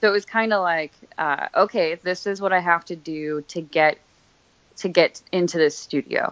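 A woman speaks in an unremarkable speaking voice. Her pitch is medium, with ordinary pitch variation. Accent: American. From Pennsylvania, Scranton. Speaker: body piercing studio manager. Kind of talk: casual interview. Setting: phone call.

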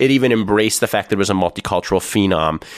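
Using an ordinary speaking voice, a man talks at a fairly low pitch with lively intonation. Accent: Canadian. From Ontario, Canada. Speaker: podcast host. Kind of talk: casual interview.

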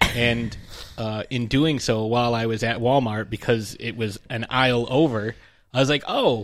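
At a moderate pace, a man speaks in a medium pitch with fairly even intonation. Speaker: podcast co-host. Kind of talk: casual chat. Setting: studio. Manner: loud.

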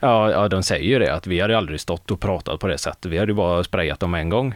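An ordinary speaking voice at a fairly quick pace, with ordinary pitch variation and very even loudness. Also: man. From Mark municipality, West Sweden. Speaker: student radio host. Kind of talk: casual chat.

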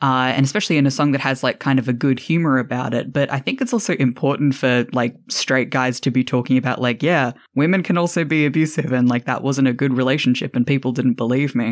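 Words come at a very fast pace with hardly any pauses on a very clean recording with a silent background. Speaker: podcast host. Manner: playful, bantering.

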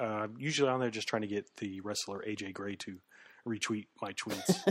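On a very clean recording with a silent background, a man talks at a moderate pace. His pitch is fairly low. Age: 30s. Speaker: wrestling podcast co-host. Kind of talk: casual chat. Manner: calm, measured.

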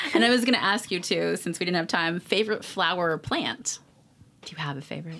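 Bright and sharp in tone, a woman talks at a fairly quick pace with lively intonation and vocal fry. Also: fairly low pitch for a woman. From San Francisco Bay Area. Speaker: food podcast host. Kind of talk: casual interview.

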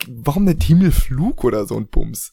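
A somewhat breathy male voice. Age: 20s. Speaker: podcast co-host. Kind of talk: casual chat.

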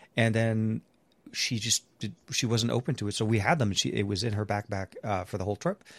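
This is a man with a plain, everyday voice, fairly low in pitch, talking at a fairly quick pace with ordinary pitch variation. The recording is very clean with a silent background, dry and close with no echo. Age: 40s. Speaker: tech podcast co-host. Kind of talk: casual chat.

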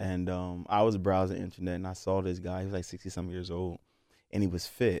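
A man talks at a very fast pace in a flat monotone. His pitch is very deep and low, his tone dark and mellow, and the recording very clean with a silent background. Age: 30s. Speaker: bodybuilder and health science professor. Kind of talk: casual interview. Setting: studio.

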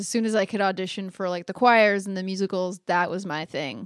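With an American accent, this speaker uses an ordinary speaking voice at a moderate pace and fairly even intonation, in a dry, close sound with no echo over a quiet background. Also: woman. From Phoenix, Arizona. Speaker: singer-songwriter. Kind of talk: interview chat.

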